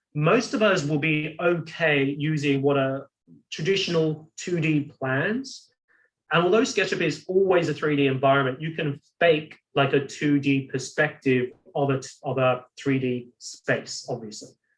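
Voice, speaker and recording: A somewhat breathy, fairly high male voice at a fairly slow pace, with ordinary pitch variation. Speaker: software instructor. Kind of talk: webinar tutorial.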